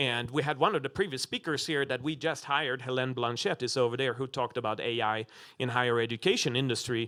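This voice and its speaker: The man talks at a very fast pace and medium pitch in a bright, sharp tone with ordinary pitch variation, on a very clean recording with a silent background. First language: not English. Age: 40s. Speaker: business school dean. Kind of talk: panel discussion. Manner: halting, many fillers.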